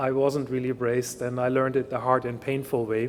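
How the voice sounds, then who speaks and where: A man speaks in a German accent at a medium pitch. His intonation stays monotone and flat. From Germany. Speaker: industry research scientist. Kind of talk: keynote talk.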